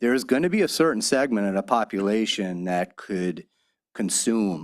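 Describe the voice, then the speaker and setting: In a Long Island accent, the speaker goes at a moderate pace on a very clean recording with a silent background. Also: man. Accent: Long Island New York. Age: 60s. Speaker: county legislator. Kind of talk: public hearing questioning. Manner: halting, repetitive.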